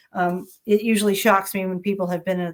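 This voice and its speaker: Her medium-pitched voice moves along fairly quickly as the woman speaks. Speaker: HR executive and conference presenter. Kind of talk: conference presentation. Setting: online summit session, recorded. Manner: fast.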